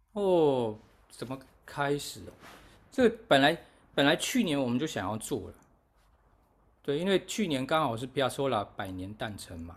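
With very wide pitch swings and big swings in loudness, a fairly high-pitched man talks at a moderate pace broken by long, frequent pauses. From Taiwan. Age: 40s. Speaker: musician and festival organizer. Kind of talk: casual interview chat. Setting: remote call from overseas.

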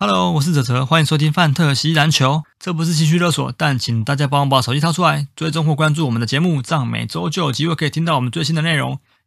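A man at a very fast pace with hardly any pauses, fairly high in pitch, with ordinary pitch variation. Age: middle-aged. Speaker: podcast co-host. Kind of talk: casual chat; scripted show intro.

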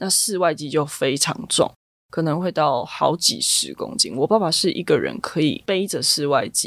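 A woman's unremarkable speaking voice, fairly low in pitch, with lively intonation at a moderate pace. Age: 20s. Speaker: finance professional. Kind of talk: interview.

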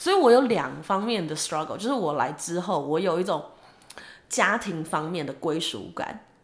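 A woman speaks at a fairly low pitch. Room echo is audible. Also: lively intonation, moderate pace. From Taiwan. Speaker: podcast co-host. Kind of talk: casual chat.

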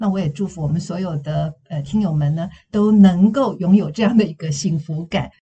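A woman's somewhat breathy, fairly low voice at a moderate pace, with ordinary pitch variation and hardly any pauses. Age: 60s. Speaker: counseling psychologist and former news anchor. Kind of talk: interview podcast.

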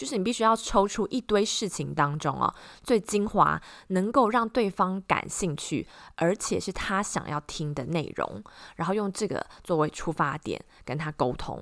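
A woman with a fairly low pitch and vocal fry is heard in a very clean recording with a silent background. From Taiwan. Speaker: podcast host, tech presenter, former radio host.

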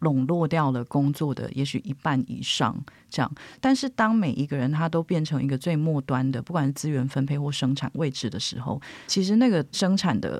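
A woman's very deep, low voice at a fairly quick pace, lively in intonation, in a very clean recording with a silent background. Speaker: editor and journalist. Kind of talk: casual interview chat.

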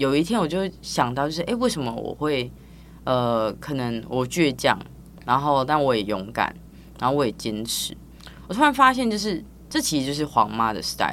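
A woman with a Taiwanese accent speaks at a moderate pace. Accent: Taiwanese Mandarin. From Taiwan, Tainan. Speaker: physical therapist and business founder. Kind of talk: casual interview.

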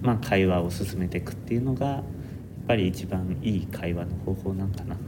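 Audible room echo surrounds a man with a Kansai accent, fairly low pitch and ordinary pitch variation. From Japan, Nara. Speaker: architecture student. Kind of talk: casual chat.

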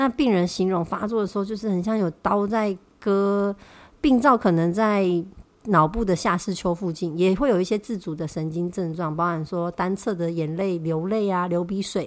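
A woman's medium-pitched voice at a moderate pace, ordinary pitch variation, very clean recording with a silent background. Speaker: health podcast host. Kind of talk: solo podcast talk on health.

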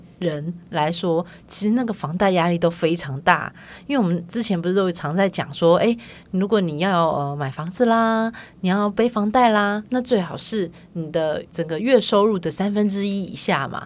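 A woman with a plain, everyday voice at medium pitch and moderate pace, ordinary pitch variation, on a very clean recording with a silent background. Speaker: podcast co-host. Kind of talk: casual chat.

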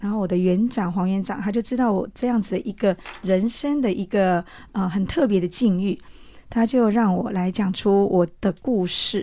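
A woman's voice, dark and mellow in tone, moves at a moderate pace with ordinary pitch variation. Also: medium pitch for a woman. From Taiwan, Changhua County. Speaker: interviewee sharing faith testimony. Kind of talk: testimony.

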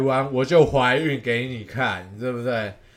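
A man at medium pitch speaks over noticeable background noise. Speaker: baseball podcast host. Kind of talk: casual solo commentary. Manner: halting, frequent repetitions.

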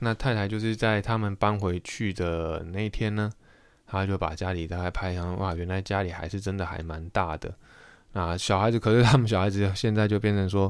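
In a very clean recording with a silent background, a man talks fairly quickly at a fairly low pitch with fairly even intonation. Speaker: podcast host. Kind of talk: solo podcast monologue. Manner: hesitant, many filler sounds.

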